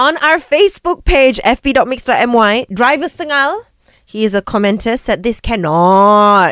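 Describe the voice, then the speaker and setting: A woman's animated, playful voice with a Malaysian accent, fairly high in pitch, with very wide pitch swings, at a fairly slow pace, in a dry, close sound with no echo. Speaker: radio co-host. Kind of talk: casual radio debate banter. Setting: radio studio.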